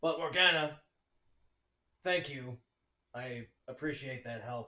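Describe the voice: Putting on a gruff character voice, a man speaks fairly slowly at a medium pitch.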